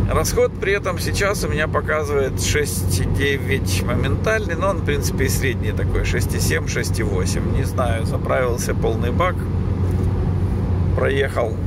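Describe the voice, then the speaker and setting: A man speaks with long, frequent pauses over loud background noise. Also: dry sound with no echo. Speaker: driver reviewing his work car. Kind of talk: commentary. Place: car. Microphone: phone near.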